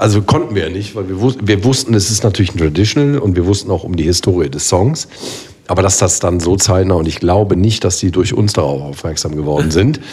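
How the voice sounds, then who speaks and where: Over noticeable background noise, a man with a very deep, low pitch talks at a fairly quick pace with lively intonation. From Rhineland, Germany (Bergisch Gladbach near Cologne). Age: 40s. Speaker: carnival band keyboardist. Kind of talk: casual chat.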